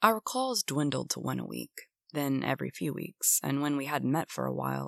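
The setting behind is quiet. What we hear is an unforced reading voice.

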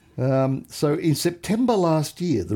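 A man with an Australian accent, a dark, mellow tone and lively intonation. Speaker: podcast co-host. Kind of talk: casual chat. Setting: remote studio together in person.

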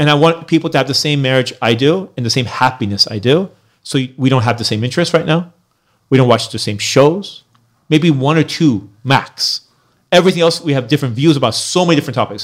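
With a normal speaking voice, a man talks at a fairly quick pace and a fairly high pitch with ordinary pitch variation, on a very clean recording with a silent background. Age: 40s. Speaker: YouTuber and comedian. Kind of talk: casual chat.

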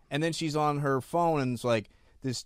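The man uses a normal speaking voice and a moderate pace. His fairly high pitch shows ordinary variation. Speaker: podcast co-host. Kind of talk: casual interview.

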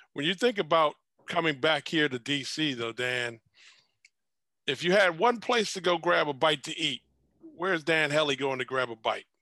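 Against a quiet background, a man with an American accent uses a fairly high pitch, a bright, sharp tone and lively intonation, with long, frequent pauses. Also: moderate pace, dry, close sound with no echo. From Washington DC area. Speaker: podcast co-host, former basketball coach. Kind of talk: casual interview chat.

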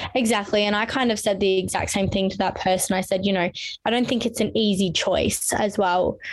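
Very even loudness and fairly even intonation. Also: woman, medium pitch for a woman, fairly quick pace. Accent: Australian. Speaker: podcast host. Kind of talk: casual interview chat.

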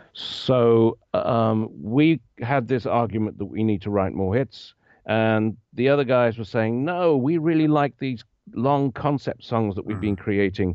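A man with an English accent at medium pitch, fairly slow in pace, with ordinary pitch variation. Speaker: retired bassist and equipment rental owner. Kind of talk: interview. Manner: halting.

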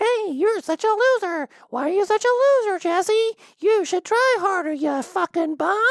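A put-on character voice with an extremely high pitch, delivered at a moderate pace. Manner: insulting, harsh.

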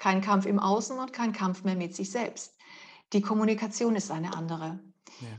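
A woman's medium-pitched, somewhat breathy voice, with ordinary pitch variation and a moderate pace. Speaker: communication coach. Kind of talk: interview. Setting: video call. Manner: articulate.

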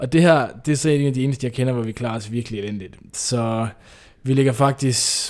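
In a very clean recording with a silent background, a man speaks at a moderate pace in a plain, everyday voice. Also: medium pitch for a man, fairly even intonation. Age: 20s. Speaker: PhD student and author. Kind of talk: interview.

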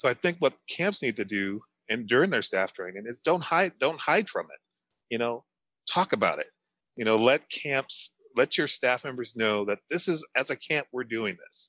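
A man with an American accent speaks at a medium pitch and moderate pace, his tone bright and sharp, his intonation lively. The recording is very clean and dry, close with no echo, over a silent background. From St. Louis, Missouri. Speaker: camp director. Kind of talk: panel discussion.

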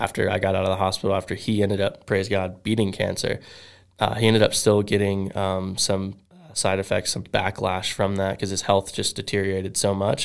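A fairly quick delivery with an American accent, monotone, flat intonation and a very clean recording with a silent background. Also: man, fairly low pitch for a man. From South Florida. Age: 20s. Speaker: professional BMX rider. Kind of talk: testimony.

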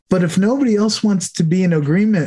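A man speaks at a moderate pace. His tone is warm and enthusiastic. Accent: American. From New York. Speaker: podcast host. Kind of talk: interview. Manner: warm, enthusiastic.

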